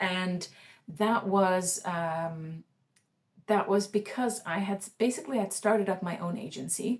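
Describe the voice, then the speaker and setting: The pace is fairly slow as a woman talks. There is some breathiness in her voice. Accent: Swedish. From Sweden. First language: Swedish. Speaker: freelancer vlogger. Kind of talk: casual vlog monologue. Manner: halting, many fillers and restarts.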